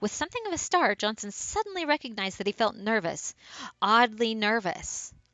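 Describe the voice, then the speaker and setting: This is an ordinary speaking voice from a woman. She moves at a moderate pace with lively intonation. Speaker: amateur story reader. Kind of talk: ghost story reading.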